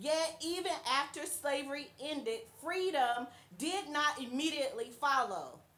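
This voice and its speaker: Bright, sharp, high-pitched female voice with lively intonation at a fairly slow pace, plus audible room echo. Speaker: pastor and presenter. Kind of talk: speech. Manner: formal.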